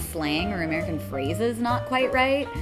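A woman speaks as clear music plays in the background. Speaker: voice actress. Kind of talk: interview answer. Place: meeting room.

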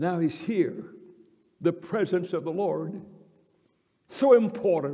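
The setting is quiet. A man talks, his intonation lively. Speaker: preacher. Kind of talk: sermon. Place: church. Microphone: podium.

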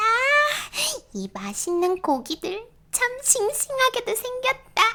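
A woman in a put-on character voice, squeaky and extremely high-pitched, speaks in a playful tone at a fairly slow pace. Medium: read story. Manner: playful, giggly.

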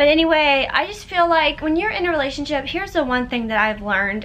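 A woman with an American accent and lively intonation, over light background noise. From Florida. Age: 20s. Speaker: YouTuber. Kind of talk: casual vlog talk to camera. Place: home room. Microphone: phone near.

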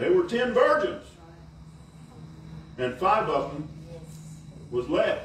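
The speech moves at a very slow pace, with long, frequent pauses. Light background noise and audible room echo are present. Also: man. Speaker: preacher delivering a sermon. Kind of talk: sermon / preaching to a congregation. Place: tent. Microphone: camera far.

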